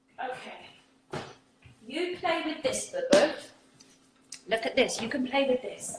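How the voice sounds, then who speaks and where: A woman with an English accent speaks at a high pitch with very wide pitch swings, at a very slow pace with long, frequent pauses. Noticeable background noise is present. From England. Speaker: spiritual community host. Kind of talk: casual chat.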